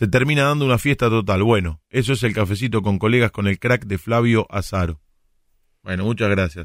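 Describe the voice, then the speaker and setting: With a Rioplatense accent, a man speaks at a moderate pace with a fairly low pitch and ordinary pitch variation, in a very clean recording with a silent background and a dry, close sound with no echo. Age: 40s. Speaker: radio host and sports commentator. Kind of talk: casual chat.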